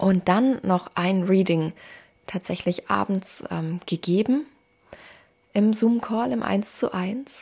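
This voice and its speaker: At a very slow pace with long, frequent pauses, a woman speaks in a medium pitch, somewhat breathy, with ordinary pitch variation. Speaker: podcast host, mother and spiritual coach. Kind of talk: personal monologue, unscripted. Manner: free-flowing, conversational.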